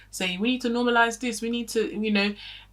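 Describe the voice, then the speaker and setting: A woman with an American accent speaks at a very fast speed while noticeable background noise plays behind her. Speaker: beauty and commentary YouTuber. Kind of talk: casual chat. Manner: animated, rambling with many fillers.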